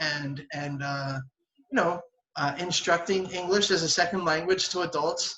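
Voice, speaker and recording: A man's high voice at a moderate pace with fairly even intonation, in a Philadelphia accent. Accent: Philadelphia-area American English. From southern New Jersey. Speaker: English teacher. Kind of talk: casual interview. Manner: halting, many fillers and repetitions.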